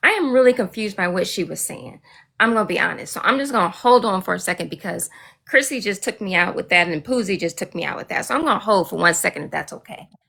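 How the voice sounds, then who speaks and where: A woman speaks very fast at a medium pitch, with lively intonation, vocal fry and big swings in loudness. The recording is very clean with a silent background. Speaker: licensed nurse. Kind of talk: casual chat.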